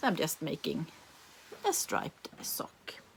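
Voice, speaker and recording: Speaking at a very slow pace, a woman talks with a Swedish accent. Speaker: knitting podcaster. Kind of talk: casual show-and-tell vlog. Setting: home. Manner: halting, many fillers and restarts.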